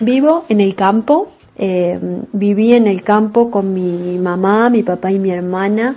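A woman speaks very slowly, her medium pitch varying in an ordinary way. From southern Córdoba, Argentina. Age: 40s. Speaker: farmer. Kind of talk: testimony.

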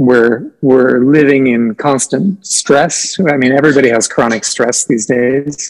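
A man with a Midwestern US accent at a fairly slow pace, medium in pitch, with ordinary pitch variation and very even loudness. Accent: General American, Midwest. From US Midwest, Nebraska. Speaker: sound therapist and artist. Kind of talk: casual interview chat.

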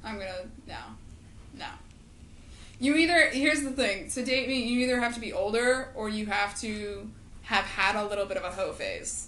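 High-pitched speech from a woman at a moderate pace, with ordinary pitch variation, long, frequent pauses, and noticeable background noise. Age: 20s. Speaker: podcast co-host. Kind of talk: casual chat.

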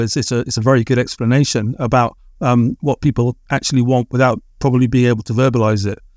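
Dry and close with no echo, this very clean recording over a silent background carries a speaker with an English accent talking at a fairly quick pace with ordinary pitch variation. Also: man. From England. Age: 40s. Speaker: writer, artist and musician. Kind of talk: podcast interview. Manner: hesitant, many filler words.

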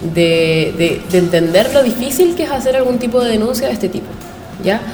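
A woman talks at a moderate pace with lively intonation, audible room echo and noticeable background noise around her. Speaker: student activist. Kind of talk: interview. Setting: studio.

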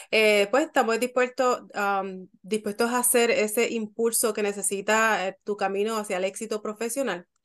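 A normal speaking voice from a woman, fairly high and fairly even, at a moderate pace with hardly any pauses, over a quiet background. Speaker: podcast co-host interviewer. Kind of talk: casual interview chat.

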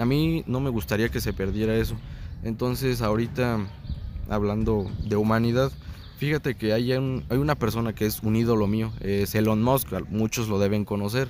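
A man talks in an ordinary speaking voice at a medium pitch and a moderate pace. His loudness stays very even, with ordinary pitch variation. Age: 20s. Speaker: science enthusiast guest. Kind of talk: casual chat.

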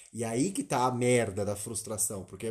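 Speaking at a medium pitch, a man has a somewhat breathy voice. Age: 30s. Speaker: podcast co-host. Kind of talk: casual chat.

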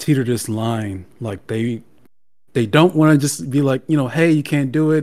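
Recorded very cleanly against a silent background, a man speaks at medium pitch with ordinary pitch variation. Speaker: staff writer, guest. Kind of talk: casual chat.

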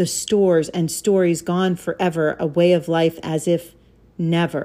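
A woman with an American accent talks at a very slow pace and a fairly low pitch. Her tone is dark, mellow and solemn. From Alaska, US. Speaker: podcast host and poet. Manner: earnest; measured, deliberate, solemn cadence with rhythmic emphasis in the poem.

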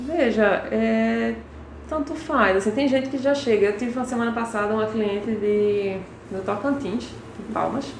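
A woman's fairly high voice at a fairly slow pace, with ordinary pitch variation, noticeable background noise and audible room echo. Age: 30s. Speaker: entrepreneur making children's activity panels. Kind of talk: interview.

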